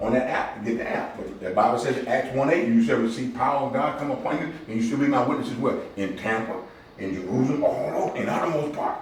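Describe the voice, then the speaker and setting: Amid noticeable background noise and audible room echo, a man talks at a very fast pace. His tone is animated. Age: 60s. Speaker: community outreach director. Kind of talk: motivational talk to a men's group. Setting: barber shop meeting with small audience. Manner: animated, preacher-like call and response.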